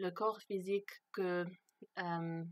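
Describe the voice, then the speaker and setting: A woman speaks at a fairly low pitch in a flat monotone. The sound is dry and close, with no echo. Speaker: video blogger. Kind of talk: personal testimony monologue. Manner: halting, many hesitations.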